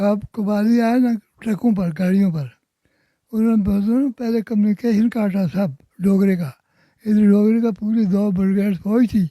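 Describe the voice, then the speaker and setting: A man with a high pitch, a dark, mellow tone and ordinary pitch variation. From Kashmir. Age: 80s+. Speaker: eyewitness of independence era. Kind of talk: interview answer.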